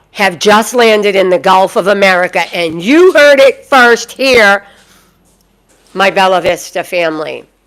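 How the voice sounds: With a Boston accent, a woman talks at a fairly slow pace, her medium pitch, fairly bright tone and lively intonation all clear.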